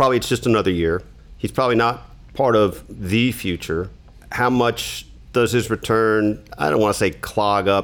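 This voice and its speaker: A man with a plain, everyday voice speaks at a moderate pace and fairly low pitch. His loudness stays very even, and his pitch varies an ordinary amount. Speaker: sports columnist. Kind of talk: casual sports discussion.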